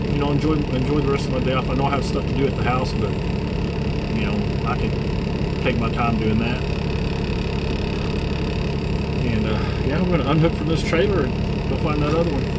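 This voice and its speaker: A man rattles along at a very fast speed while loud background noise fills the recording. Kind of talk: casual vlog chat. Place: car. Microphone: camera far.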